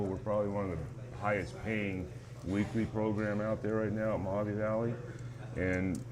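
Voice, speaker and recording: Audible room echo surrounds speech at a moderate pace. Pitch variation is ordinary. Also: man. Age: 60s. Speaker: racetrack owner. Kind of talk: casual interview.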